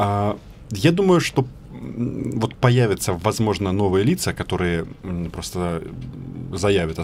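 There is light background noise. A man speaks over it with lively intonation. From Ukraine. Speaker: journalist, news agency correspondent. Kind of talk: radio interview, political debate. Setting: radio studio. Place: studio. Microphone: studio mic.

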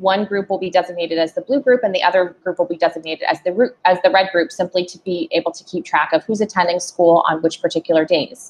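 A woman talks at a very fast pace. Her pitch variation is ordinary, with big swings in loudness. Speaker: presenter. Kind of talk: informational presentation. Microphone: video call.

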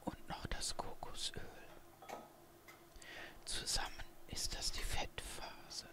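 Someone whispers, soft-spoken and at a very slow pace, against noticeable background noise. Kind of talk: tutorial. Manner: soft ASMR whisper. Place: kitchen.

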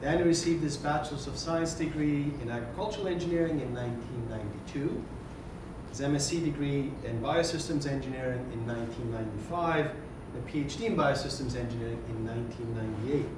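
Speaking at a moderate pace, a man with a fairly high pitch shows ordinary pitch variation amid audible room echo and noticeable background noise. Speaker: associate dean hosting seminar. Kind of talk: formal introduction. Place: classroom.

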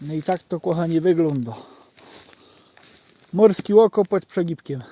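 A man with a Żywiec highlander accent, a high pitch and a dark, mellow tone, at a fairly slow pace with ordinary pitch variation, in a dry, close sound with no echo. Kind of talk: casual outdoor talk to camera. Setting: outdoors. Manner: spontaneous storytelling.

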